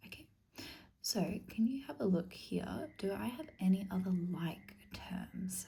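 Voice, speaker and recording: A soft-spoken woman with a dark, mellow tone and vocal fry talks in a calm, gentle tone at a medium pitch, her pitch varying in an ordinary way. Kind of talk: ASMR tutoring roleplay, explaining maths to the listener. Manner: soft-spoken, calm, gentle.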